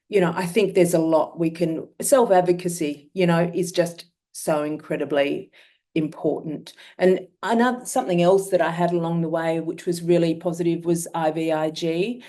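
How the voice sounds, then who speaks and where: With an Australian accent, a woman speaks at a moderate pace and a fairly low pitch. Her tone is dark and mellow, her intonation fairly even. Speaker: myeloma patient sharing experience. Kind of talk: webinar talk.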